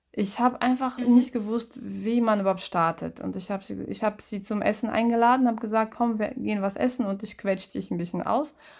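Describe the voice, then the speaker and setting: A woman's fairly high voice at a fairly quick pace, with fairly even intonation. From Russia (Moscow). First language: Russian (speaking German). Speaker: musical comedian. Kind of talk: casual interview. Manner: halting.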